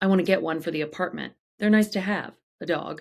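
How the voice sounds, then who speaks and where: A raspy, soft-spoken put-on character voice at a middle pitch and very fast pace. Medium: read story.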